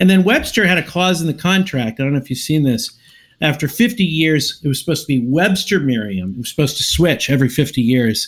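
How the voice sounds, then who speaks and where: A man with an ordinary speaking voice, fairly high in pitch, fairly quick in pace, his intonation lively. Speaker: podcast host. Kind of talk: casual chat.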